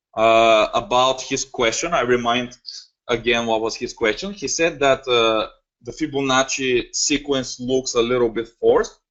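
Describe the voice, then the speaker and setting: The speaker has a Bulgarian accent and a fairly slow pace. Pitch variation is ordinary. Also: man, medium pitch for a man. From Bulgaria (Varna). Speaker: forex trading educator. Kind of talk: webinar lecture. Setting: online webinar. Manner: hesitant, many fillers.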